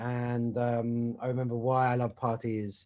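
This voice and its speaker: A man with a British accent talks at a medium pitch over a quiet background. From Britain. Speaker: entrepreneur. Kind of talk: casual chat. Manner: halting.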